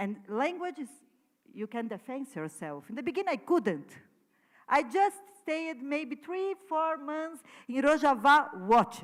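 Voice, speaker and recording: With a Portuguese accent, a woman speaks at a high pitch, using very wide pitch swings. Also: fairly slow pace, big swings in loudness. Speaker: artist. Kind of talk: conference talk. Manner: halting.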